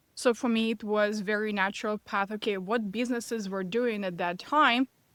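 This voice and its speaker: A woman's fairly high voice with a Russian accent, fairly even intonation, and a dry, close sound with no echo. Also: very clean recording, silent background. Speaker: business and mindset coach. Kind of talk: podcast interview.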